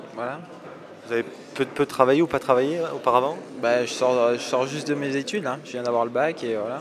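At a fairly quick pace broken by long, frequent pauses, a man with a medium pitch and fairly even intonation shows big swings in loudness against noticeable background noise. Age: young. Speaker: army recruit. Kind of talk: interview.

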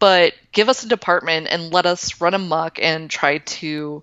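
An unremarkable speaking voice, a woman's, comes with an American accent, a fairly low pitch and ordinary pitch variation. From Florida, Tampa Bay area. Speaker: information security consultant. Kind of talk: casual interview.

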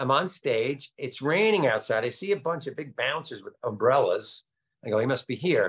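A man talks at a moderate pace. He speaks in a New Jersey accent. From Nutley, New Jersey, US. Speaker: comedian. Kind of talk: casual interview.

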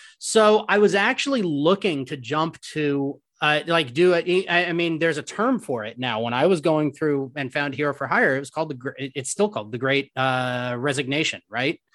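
Against a quiet background, an ordinary speaking voice with an American accent moves at a moderate pace with lively intonation. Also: man, fairly high pitch for a man. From split between Oakland, California and rural south Georgia. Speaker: animation development executive and film producer. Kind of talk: interview.

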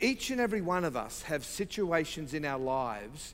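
With an Australian accent, a man speaks at a moderate pace. His intonation is lively. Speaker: visiting preacher. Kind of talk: sermon. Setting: church.

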